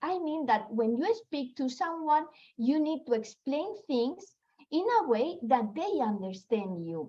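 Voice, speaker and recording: A woman speaks with a non-native accent at a fairly slow pace. Her pitch is high, and it swings very widely. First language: not English. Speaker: network marketing leader. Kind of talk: motivational talk. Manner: halting.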